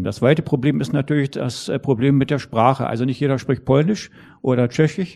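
With ordinary pitch variation, the man's tone comes across dark and mellow. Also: quiet background. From East Germany. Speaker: former civil rights activist and historian. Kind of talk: panel discussion. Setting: stage with audience.

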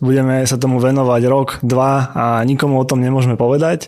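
A man of medium pitch talks at a fairly quick pace in a plain, everyday voice. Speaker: podcast co-host. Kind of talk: casual interview; scripted outro.

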